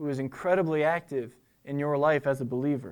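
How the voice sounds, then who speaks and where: The recording is very clean, with a silent background. A man with an ordinary speaking voice talks at a fairly quick pace in a fairly high pitch. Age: 20s. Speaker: preacher. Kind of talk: sermon.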